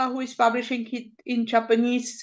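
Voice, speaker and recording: A woman's high-pitched voice with a non-native accent, monotone and flat, at a moderate pace over a quiet background. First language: not English. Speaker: publisher representative. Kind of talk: online conference remarks. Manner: halting.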